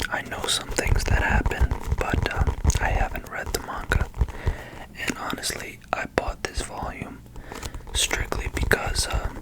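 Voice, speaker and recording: Over noticeable background noise, a man whispers at a fairly slow pace with long, frequent pauses. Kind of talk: ASMR video, casual talk to camera. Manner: soft-spoken.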